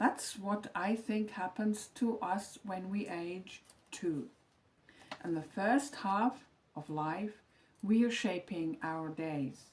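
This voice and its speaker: A woman at a medium pitch speaks at a very slow pace in a calm tone with lively intonation, against noticeable background noise. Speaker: retired teacher, lifestyle vlogger. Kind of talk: scripted reflective monologue. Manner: calm, measured reading from script.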